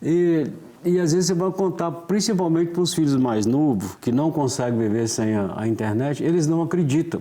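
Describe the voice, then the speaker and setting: An unremarkable speaking voice from a man, fairly high-pitched, with lively intonation, a moderate pace and very even loudness. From Minas Gerais, Brazil (Florestal). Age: 60s. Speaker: author. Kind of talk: casual interview.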